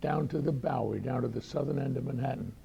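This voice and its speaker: With an American accent, a man talks while noticeable background noise fills the recording. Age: 90s. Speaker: retired doctor and war veteran. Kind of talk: personal talk to audience. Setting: luncheon talk with audience.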